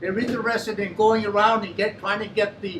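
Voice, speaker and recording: Fairly quick speech with an American accent and fairly even intonation, over noticeable background noise. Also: man. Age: 80s+. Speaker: former mayor. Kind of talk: audience remarks. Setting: forum in a pub.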